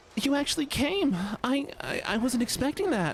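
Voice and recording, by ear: A put-on character voice, female-sounding and whiny, high-pitched at a moderate pace over light background noise.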